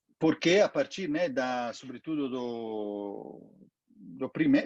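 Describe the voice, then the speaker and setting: This man's pitch swings very widely as he speaks. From Italy. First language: Italian (speaking Portuguese). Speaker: NGO director. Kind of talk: interview. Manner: halting.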